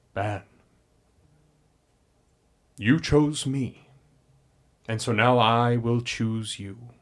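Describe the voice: A man puts on a rumbling character voice at a medium pitch. He speaks very slowly, with long, frequent pauses.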